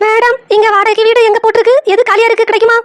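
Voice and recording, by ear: A cartoonish character voice talks at a moderate pace in a monotone, flat intonation. The sound is dry and close, with no echo. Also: woman, extremely high pitch for a woman.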